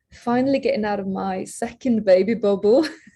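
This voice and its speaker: Her voice is somewhat breathy, with a dark, mellow tone in this woman's speech. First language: not English. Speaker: singer-songwriter. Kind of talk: interview. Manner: halting, many fillers and repeated words.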